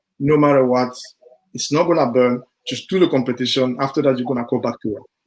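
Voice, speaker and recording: Talking at a fairly quick pace, a man speaks with a French accent. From Ivory Coast. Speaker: sprinter. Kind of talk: podcast interview. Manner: halting.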